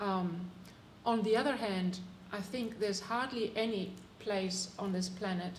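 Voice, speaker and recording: A woman talks at a moderate pace and medium pitch with fairly even intonation. Noticeable background noise and audible room echo fill the recording. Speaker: climate policy advisor, panelist. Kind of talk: panel discussion. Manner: halting, many fillers.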